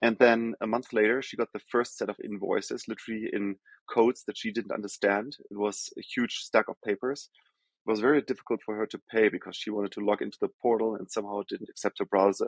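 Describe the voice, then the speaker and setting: A man with a German accent talks very fast at medium pitch in a monotone, flat intonation, the sound dry and close with no echo. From Germany. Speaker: healthcare tech executive. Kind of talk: podcast interview.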